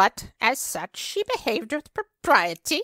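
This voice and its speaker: A loud, female-sounding put-on character voice speaks at a fairly slow pace. Its pitch swings very widely. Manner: loud, indignant, then crowing wildly.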